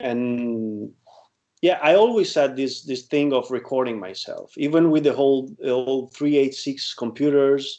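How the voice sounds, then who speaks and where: This man's voice sits fairly high in pitch. Its pitch variation is ordinary. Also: fairly slow pace. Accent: Italian. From Italy. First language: Italian. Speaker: guitarist and producer. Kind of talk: interview. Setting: video call. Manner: halting.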